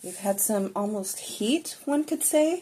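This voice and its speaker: A soft-spoken, relaxed delivery at a very slow pace, with very wide pitch swings. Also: woman. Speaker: tarot reader and spiritual healer. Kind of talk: casual tarot reading to camera. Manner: relaxed, unscripted.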